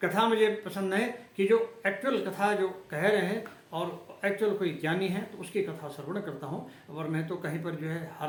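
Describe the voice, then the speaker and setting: A man at a moderate pace with hardly any pauses and ordinary pitch variation, amid audible room echo and noticeable background noise. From Uttarakhand, India. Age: 60s. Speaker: religious vlogger. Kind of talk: religious monologue. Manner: halting.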